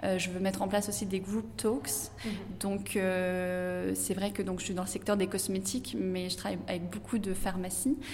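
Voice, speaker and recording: A woman speaks at medium pitch and a fairly slow pace. Audible room echo surrounds her voice. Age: 30s. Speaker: entrepreneur, café owner. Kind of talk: interview. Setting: in her café.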